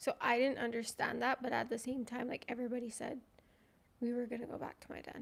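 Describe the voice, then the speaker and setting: A quiet woman with a high pitch talks very fast in a flat, monotone way. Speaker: ex-polygamy community member guest. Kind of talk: casual livestream chat. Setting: livestream. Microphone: too quiet, mic too far.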